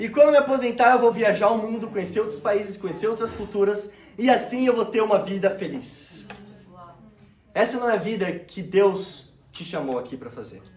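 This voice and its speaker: Speaking with a São Paulo accent, a man with a high pitch talks at a moderate pace, with lively intonation and big swings in loudness, over noticeable background noise. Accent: Brazilian Portuguese (São Paulo). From Brazil, São Paulo. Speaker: preacher. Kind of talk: sermon. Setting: church service with congregation.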